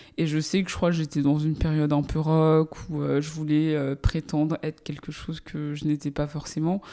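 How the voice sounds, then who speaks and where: A woman's very deep, low pitch and dark, mellow tone, with monotone, flat intonation on a very clean recording with a silent background. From Paris suburbs, France. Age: 30s. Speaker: journalist and podcast host. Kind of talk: interview. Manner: hesitant, many fillers.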